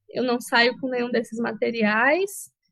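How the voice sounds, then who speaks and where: Her voice sits high in pitch. This woman's pitch rises and falls in an ordinary way. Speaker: hospital psychologist. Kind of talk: online panel interview.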